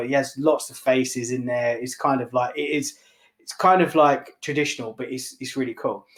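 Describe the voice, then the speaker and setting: Speaking in a London accent, a man talks at a moderate pace in a medium pitch. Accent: London English, noticed by New York buyers. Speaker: barbershop owner and entrepreneur. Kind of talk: podcast interview, telling his story. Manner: animated; hesitant with many fillers.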